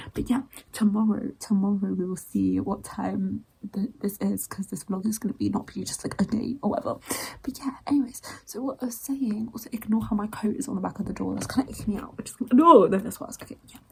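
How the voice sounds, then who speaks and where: Whispering at a very fast pace, a woman's voice has big swings in loudness over noticeable background noise. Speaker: writing vlogger / aspiring novelist. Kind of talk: casual vlog chat. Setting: at home early morning. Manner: rambling, fast.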